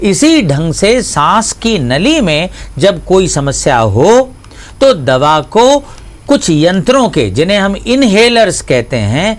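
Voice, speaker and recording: Noticeable background noise sits under this recording. A man speaks with very wide pitch swings. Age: 60s. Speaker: pediatrician. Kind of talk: health education interview. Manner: formal.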